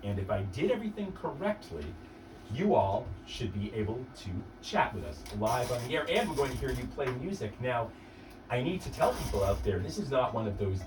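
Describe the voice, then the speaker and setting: A man with an American accent at a fairly quick pace, with music in the background and audible room echo. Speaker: radio host. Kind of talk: live radio interview. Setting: radio studio.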